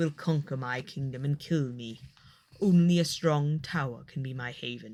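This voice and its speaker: A put-on character voice at a low-to-middle pitch moves at a moderate pace in a very clean recording with a silent background. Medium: read story. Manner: heavy, stern.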